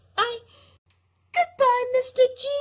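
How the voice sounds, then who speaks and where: A squeaky, put-on character voice. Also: female-sounding voice, extremely high pitch for a woman. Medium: machinima. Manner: breathless, hesitant, girlish.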